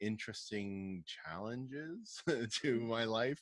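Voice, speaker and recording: A man is speaking. He has a southern Ontario accent. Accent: Canadian English (southern Ontario). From Canada, Windsor, Ontario. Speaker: youth pastor. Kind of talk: casual interview.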